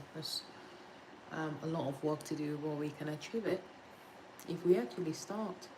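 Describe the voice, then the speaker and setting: Over noticeable background noise, a woman with a very deep, low pitch and ordinary pitch variation speaks with long, frequent pauses. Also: moderate pace. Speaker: litigation solicitor. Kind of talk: casual study-with-me livestream talk to viewers. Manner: relaxed, conversational.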